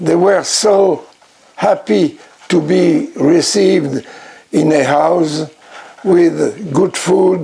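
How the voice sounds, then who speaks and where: Over noticeable background noise, a man with a French accent speaks at a high pitch and very slow pace with very even loudness. His pitch variation is ordinary, and his pauses are long and frequent. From France. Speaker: blues record collector and producer. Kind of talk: award acceptance speech. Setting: recorded at home in his record room.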